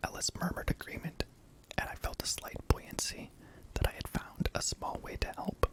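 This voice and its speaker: Over noticeable background noise, a man whispers at a moderate pace. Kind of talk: scary story reading. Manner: whispered.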